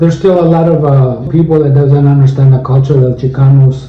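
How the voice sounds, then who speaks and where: Over noticeable background noise and audible room echo, a man speaks fairly quickly at a medium pitch. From Arizona, Tempe. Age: 70s. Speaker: interviewee. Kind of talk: interview. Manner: halting, many fillers.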